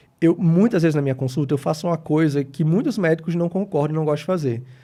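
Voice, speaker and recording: A man talks at a very fast pace in a fairly high pitch with a dark, mellow tone. The recording is very clean, with a silent background. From Brazil, Natal (Rio Grande do Norte, Northeast). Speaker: geriatrician. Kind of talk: interview.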